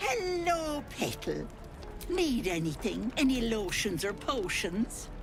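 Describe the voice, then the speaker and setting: A put-on character voice comes in a fairly high pitch at a fairly slow pace. Loud music plays in the background. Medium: game stream. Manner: sweet, cooing, overly affectionate.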